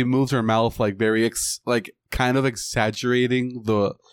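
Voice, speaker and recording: A man's medium-pitched voice with a Puerto Rican accent, dry and close with no echo. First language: Spanish. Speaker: podcast co-host. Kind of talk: casual chat.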